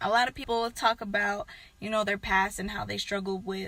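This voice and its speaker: In a very clean recording with a silent background, a woman speaks quietly at a medium pitch, her tone bright and sharp and her intonation flat and monotone. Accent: American. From southern California, Antelope Valley. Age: 20s. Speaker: YouTuber. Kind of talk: testimony.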